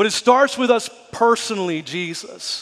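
Against a quiet background, a man speaks in a high pitch. His pitch variation is ordinary. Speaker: pastor. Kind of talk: prayer. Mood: earnest, intense. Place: church. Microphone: headset.

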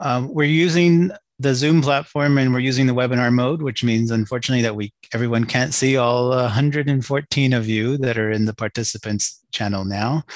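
Against a quiet background, a man talks at a moderate pace with ordinary pitch variation in a dry sound with no echo. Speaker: workshop moderator. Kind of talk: meeting moderation. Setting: video call. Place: home room. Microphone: video call.

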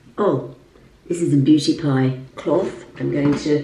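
With audible room echo, a woman speaks at a very slow pace in a very deep, low pitch. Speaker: lifestyle vlogger and presenter; lifestyle vlogger. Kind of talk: casual vlog talk. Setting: at home in apartment. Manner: quiet, voice kept down. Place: bathroom. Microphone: phone near.

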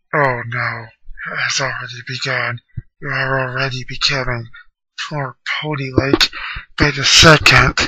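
A put-on character voice from a man, medium in pitch, at a fairly slow pace. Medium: machinima. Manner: formal, solemn.

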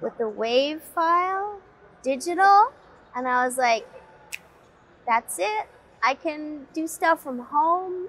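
Pausing long and often, a woman speaks at a very slow pace with a high pitch that swings very widely. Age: young-sounding. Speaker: voice actor. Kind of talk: interview answer. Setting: convention interview. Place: studio.

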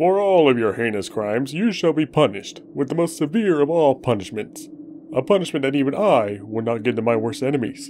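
Fairly quick speech from a man with a fairly high pitch, against clear background noise. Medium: game stream. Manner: solemn, mock-grave.

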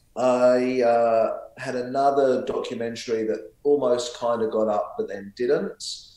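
In a room with audible echo, a man speaks at a fairly slow pace. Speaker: guest. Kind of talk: interview answer. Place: home room. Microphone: video call.

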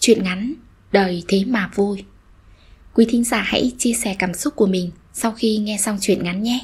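Fairly high-pitched and somewhat breathy, a woman speaks at a fairly slow pace in a gentle, soothing tone, with fairly even intonation and long, frequent pauses. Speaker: story narrator. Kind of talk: short story reading.

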